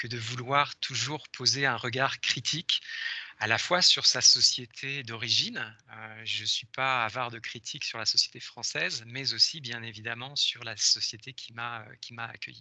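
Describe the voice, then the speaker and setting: A man speaks at a medium pitch and a fairly slow pace, his tone bright and sharp. His intonation stays fairly even while his loudness swings widely. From France. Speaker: professor. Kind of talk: lecture. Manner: hesitant, many fillers.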